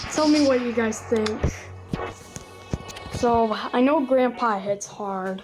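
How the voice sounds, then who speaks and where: Noticeable background noise runs behind this recording. A woman talks at a fairly slow pace with ordinary pitch variation. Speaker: gaming youtuber. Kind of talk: gameplay commentary. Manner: halting, self-correcting; casual, chatty.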